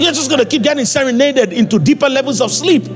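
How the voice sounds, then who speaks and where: With clear music behind him, a man speaks in an extremely high pitch and lively intonation. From Nigeria. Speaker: preacher. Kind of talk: sermon. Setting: church service, addressing congregation. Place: church. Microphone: handheld.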